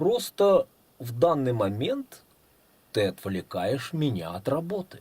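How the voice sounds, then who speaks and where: A man's creaky, put-on character voice, fairly high in pitch and fairly slow, broken by long, frequent pauses. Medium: read story. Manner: haughty, condescending.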